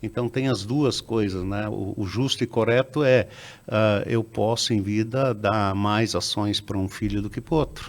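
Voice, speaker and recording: A fairly low-pitched man, fairly slow and fairly even in intonation, in a very clean recording with a silent background. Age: 60s. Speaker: business founder. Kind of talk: interview. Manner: halting, with many repetitions and fillers.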